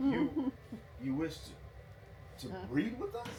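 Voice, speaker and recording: A man performs a put-on character voice at a fairly slow pace. Background noise is clearly heard. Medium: stage play.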